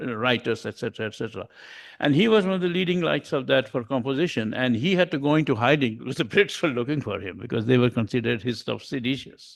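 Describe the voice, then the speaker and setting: Against a quiet background, a man with a Bengali accent talks at a fairly quick pace. His intonation is lively, with vocal fry. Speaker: humanist society member sharing music. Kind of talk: informal presentation to a group.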